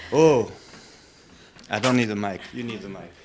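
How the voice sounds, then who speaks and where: Moderate-paced speech from a man with a fairly low pitch and ordinary pitch variation, with audible room echo and noticeable background noise. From France. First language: French. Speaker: satsang participant. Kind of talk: casual chat.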